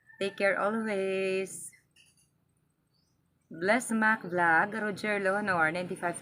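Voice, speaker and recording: A woman speaking at a very slow pace. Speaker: vlogger. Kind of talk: casual vlog shout-outs. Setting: outdoors by a road. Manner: loud.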